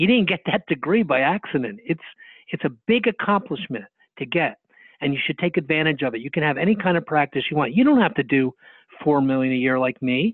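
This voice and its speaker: Speaking fairly quickly with an American accent, a man with an unremarkable speaking voice uses lively intonation at a fairly high pitch. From New Jersey. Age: 60s. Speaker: dentist and speaker. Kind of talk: interview.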